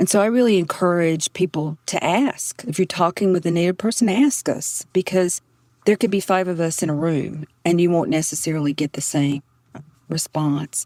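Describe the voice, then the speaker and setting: A woman with a strong Southern US accent, a dark, mellow tone and a moderate pace, in a dry, close sound with no echo. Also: fairly low pitch for a woman, ordinary pitch variation. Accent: deep Southern US. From Southeastern North Carolina. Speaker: professor. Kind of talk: podcast interview.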